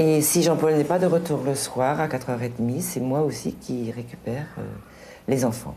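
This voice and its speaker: Here a woman speaks at a fairly slow pace in a very deep, low register. Her pitch variation is ordinary, and room echo is audible. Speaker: teacher. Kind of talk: interview.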